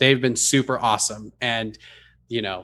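Talking with an American accent, a man has an unremarkable speaking voice at a medium pitch. He moves at a fairly quick pace with ordinary pitch variation. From California. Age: 20s. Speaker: content creator. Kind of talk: casual chat.

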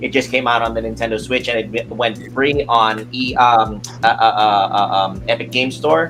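Noticeable background noise sits under this man's fairly even intonation. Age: 40s. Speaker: video game podcast co-host. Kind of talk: casual chat.

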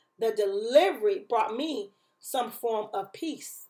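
Speaking very slowly, a woman has a high pitch, a warm tone and lively intonation. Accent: American. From Chicago, US Midwest. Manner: fervent, urgent, emphatic, rising in intensity with repeated phrases; warm, encouraging, pulpit-like cadence.

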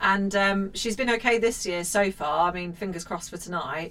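There is noticeable background noise in the clip. A woman speaks through it at a moderate pace. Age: 30s. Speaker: podcast host. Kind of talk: casual chat.

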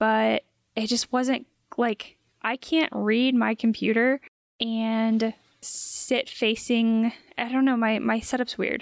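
A soft-spoken woman's fairly high voice, monotone and flat in intonation, at a very slow pace, on a very clean recording with a silent background. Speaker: podcast host. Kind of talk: casual chat.

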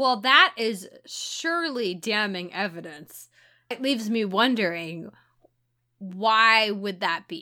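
In a very clean recording with a silent background, a woman speaks very slowly with an American accent. Her fairly high voice has a bright, sharp tone and lively intonation. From St. Louis, Missouri (US Midwest). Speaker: podcast co-host. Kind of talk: casual chat.

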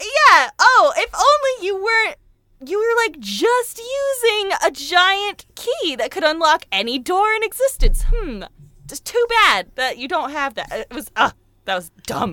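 Speaking at a fairly slow pace, a woman raises and projects an extremely high, bright, sharp voice with very wide pitch swings and big swings in loudness. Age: 20s. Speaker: podcast guest, video game fan. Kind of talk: casual chat. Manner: animated.

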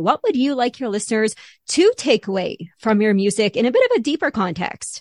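A woman with a Canadian accent talks in a normal speaking voice at a fairly high pitch and a fairly quick pace. The background is quiet, and the sound is dry and close with no echo.

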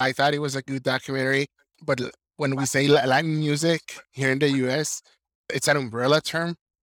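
This man speaks in a Spanish accent at medium pitch with fairly even intonation. The sound is dry and close, with no echo. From Mexico, Sinaloa. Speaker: journalist and translator. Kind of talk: interview. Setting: video call.

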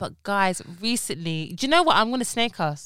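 A woman with a London accent speaks at a moderate pace in a bright, sharp tone and fairly high pitch, her pitch swinging very widely, on a very clean recording with a silent background. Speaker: podcast co-host and pharmacist. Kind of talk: casual chat.

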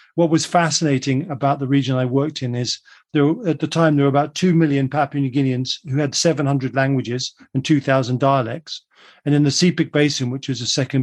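A man with a southern English accent talks at a fairly quick pace, with fairly high pitch and fairly even intonation. The sound is dry and close with no echo, over a quiet background. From England, London then Surrey. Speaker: global forecaster. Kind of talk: radio interview.

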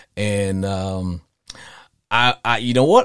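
A man talks in an animated tone with a Louisiana accent. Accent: Cajun Southern US. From US South (Louisiana/Arkansas). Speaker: podcast host. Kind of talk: live call-in sports talk show. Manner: animated, jokey, laughs often.

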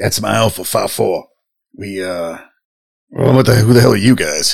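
A man speaks at a moderate pace in a raspy, put-on character voice at medium pitch. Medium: actual play. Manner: casual, slangy, swears.

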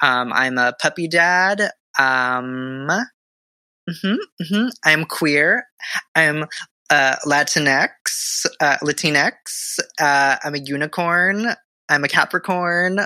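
A man with an American accent, fairly high-pitched, very slow, with long and frequent pauses, ordinary pitch variation, a bright, sharp tone and a dry, close sound with no echo. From Southern California. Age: 20s. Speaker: theater producer and performer. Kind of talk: casual chat.

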